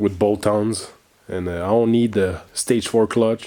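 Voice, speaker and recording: Speaking with a Quebec accent, a man keeps a fairly low pitch and fairly even intonation at a fairly slow pace. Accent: French Canadian accent in English. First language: French. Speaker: car enthusiast video host. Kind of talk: casual video intro.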